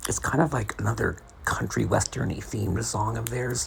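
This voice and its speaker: Someone whispers at a moderate pace. Noticeable background noise runs beneath the voice. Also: man. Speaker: podcaster. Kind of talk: sleep podcast essay reading. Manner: whispery.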